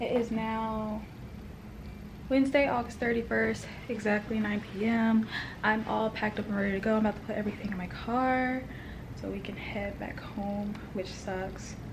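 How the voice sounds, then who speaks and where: Amid audible room echo, a woman speaks at a moderate pace with fairly high pitch and monotone, flat intonation. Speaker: vlogger. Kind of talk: casual vlog.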